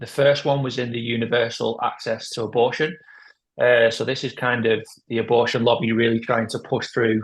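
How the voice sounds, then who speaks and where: A man speaks at a moderate pace in a somewhat breathy voice. His intonation stays fairly even. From UK. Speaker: pro-life organisation head. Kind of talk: interview. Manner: hesitant, many fillers.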